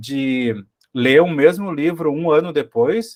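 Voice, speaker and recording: A man with a southern Brazilian accent and fairly high pitch, on a very clean recording with a silent background. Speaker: teacher, study group organizer. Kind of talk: study group discussion. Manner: halting, many repetitions.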